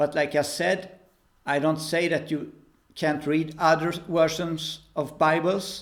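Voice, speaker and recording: Very slowly and with monotone, flat intonation, a man with a Swedish accent speaks at a fairly high pitch. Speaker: preacher. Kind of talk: religious talk to camera. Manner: halting.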